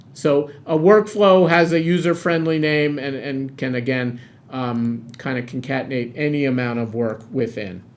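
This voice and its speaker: In an unremarkable speaking voice, a man talks at a moderate pace and medium pitch with ordinary pitch variation and hardly any pauses. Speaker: product demo presenter. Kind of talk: product demo webinar. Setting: webinar on camera.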